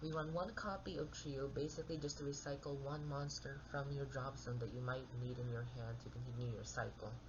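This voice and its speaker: The speech moves at a fairly quick pace. There are hardly any pauses. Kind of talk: card game deck profile talk. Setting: home recording with background noise. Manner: soft-spoken.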